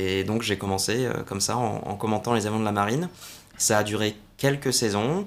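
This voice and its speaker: A plain, everyday voice from a man, fairly low in pitch, at a moderate pace with ordinary pitch variation. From southern France, Salon-de-Provence area. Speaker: air show commentator and military officer. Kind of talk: interview.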